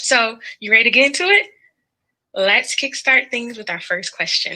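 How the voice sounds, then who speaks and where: This woman talks with a fairly high pitch and a Southern US accent. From US South. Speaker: podcast strategist. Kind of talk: presentation.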